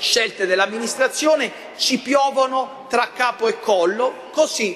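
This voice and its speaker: An extremely high-pitched male voice with lively intonation at a fairly slow pace, over light background noise. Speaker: opposition city councillor. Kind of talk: council debate speech. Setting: council chamber. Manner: indignant. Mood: critical, complaining. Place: meeting room. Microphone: podium.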